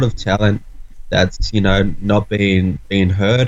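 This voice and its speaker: This is a man with an Australian accent. His voice is fairly low-pitched and somewhat breathy. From Australia (Sydney). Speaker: rapper. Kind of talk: casual chat. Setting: remote call.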